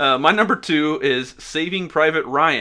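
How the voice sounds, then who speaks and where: His is a normal speaking voice, sitting fairly high in pitch. The man's pitch moves in an ordinary way. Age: 30s. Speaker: podcast co-host. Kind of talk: casual chat.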